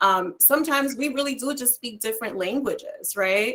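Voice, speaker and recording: A woman with a Spanish accent, a bright, sharp tone, ordinary pitch variation and a moderate pace. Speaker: career coach. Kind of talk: online panel discussion.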